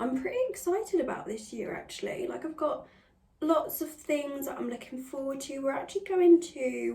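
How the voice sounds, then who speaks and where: With an English accent and lively intonation, a woman speaks at a moderate pace in a high pitch, with audible room echo in the recording. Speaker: beauty vlogger. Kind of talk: casual tutorial chat.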